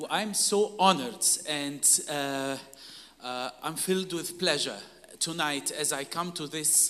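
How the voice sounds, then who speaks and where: Noticeable background noise accompanies speech that unfolds very slowly. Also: man. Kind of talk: sermon, preached in English in short bursts for consecutive translation. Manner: emphatic, call-and-response, pausing after each phrase for the interpreter.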